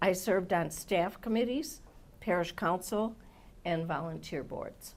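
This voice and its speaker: In an Upper Midwest accent, a woman with a fairly low pitch uses lively intonation at a fairly slow pace, pausing long and often. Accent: Upper Midwest American. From Milwaukee, Wisconsin. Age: 70s. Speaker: commission applicant. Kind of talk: job interview. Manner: formal.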